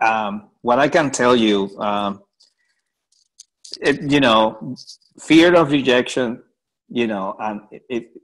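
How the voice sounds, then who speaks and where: Speaking with a strong Puerto Rican accent, a man uses a medium pitch and ordinary pitch variation. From Puerto Rico. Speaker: research funding program director. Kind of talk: panel discussion.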